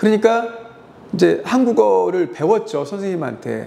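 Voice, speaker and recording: A man is talking. His pace is moderate. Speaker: high school teacher. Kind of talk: monologue commentary. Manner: halting with fillers.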